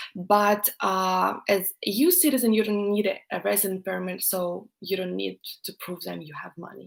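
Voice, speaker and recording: A woman at a moderate pace. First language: Russian. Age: 20s. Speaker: YouTuber, student. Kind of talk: live stream Q&A chat. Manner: hesitant, many fillers.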